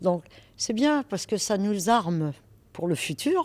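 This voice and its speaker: A woman speaks at a very slow pace. The recording is very clean and the background silent. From France, Paris. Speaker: real estate broker. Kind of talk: interview. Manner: hesitant, with fillers.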